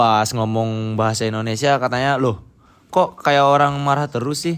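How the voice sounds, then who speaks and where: With a Medan accent, a man speaks at a moderate pace and medium pitch, using ordinary pitch variation. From North Sumatra, Medan area, Karo. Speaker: university student, interviewee. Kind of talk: interview. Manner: firm, blunt.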